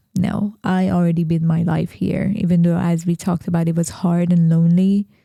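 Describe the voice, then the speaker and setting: The speaker has a strong Persian accent and a monotone, flat intonation. The loudness stays very even. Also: woman, fairly low pitch for a woman. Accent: thick Persian. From Iran. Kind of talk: interview testimony. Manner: halting.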